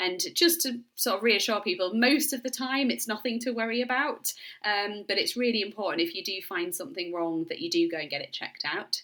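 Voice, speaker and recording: With a bright, sharp tone, a woman speaks at a fairly quick pace and with lively intonation. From Yorkshire, northern England. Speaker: doctor, menopause specialist. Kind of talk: interview. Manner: hesitant, with fillers.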